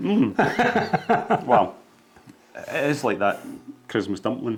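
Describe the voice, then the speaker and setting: A man with a Scottish accent, speaking very slowly over noticeable background noise. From Scotland. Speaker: podcast co-host. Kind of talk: casual chat.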